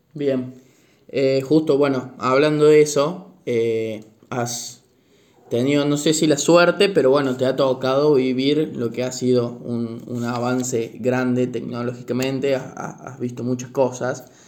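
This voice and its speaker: Speaking fairly slowly at a medium pitch, a man keeps his intonation fairly even, and audible room echo surrounds the voice. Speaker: university student, podcaster, grandchild. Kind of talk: interview.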